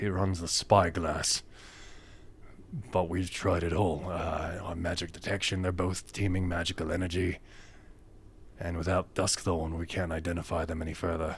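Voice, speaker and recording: Through clear background noise, a raspy, put-on character voice moves at a moderate pace with monotone, flat intonation and long, frequent pauses. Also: man, very deep, low pitch for a man. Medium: actual play. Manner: hesitant, rambling.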